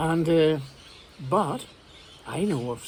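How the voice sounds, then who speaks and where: With noticeable background noise behind him, a man speaks at a very slow pace and a fairly high pitch. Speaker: English teacher. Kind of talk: casual talk to camera.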